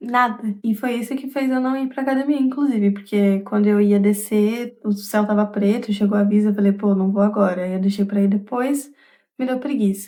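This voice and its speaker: Her tone is dark and mellow. The woman speaks at a moderate pace with ordinary pitch variation. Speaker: vlogger. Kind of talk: casual vlog monologue. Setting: at home.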